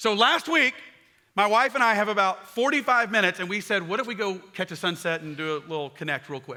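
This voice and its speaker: A man with a high voice and a bright, sharp tone speaks at a very fast pace with lively intonation. His voice is raised and projected. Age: 40s. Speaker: pastor. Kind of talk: sermon.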